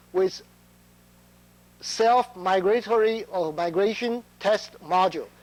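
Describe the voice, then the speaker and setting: A man's high voice in a non-native accent, with fairly even intonation. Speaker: chip test engineer. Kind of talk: conference talk. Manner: halting, many fillers.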